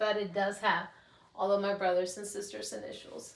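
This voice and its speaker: A woman at medium pitch with a Mexican accent. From Mexico, Juarez. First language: Spanish. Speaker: podcast host. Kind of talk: casual solo podcast talk. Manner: candid, unscripted.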